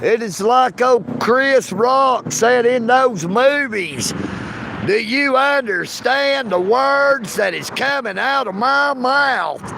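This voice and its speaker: A man's extremely high, raised and projected voice in a strong Southern US accent, at a very slow pace, over noticeable background noise. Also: ordinary pitch variation. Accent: thick Southern. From US South, Dalton, Georgia. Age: 50s. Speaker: live streamer. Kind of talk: casual chat. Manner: animated.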